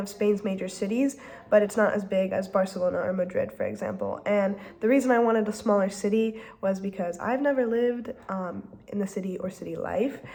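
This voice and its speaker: Over noticeable background noise, a woman speaks at a medium pitch and a moderate pace, her intonation fairly even. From France and US, grew up more French. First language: French. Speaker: student vlogger. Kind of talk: casual vlog monologue. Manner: frequent filler ums.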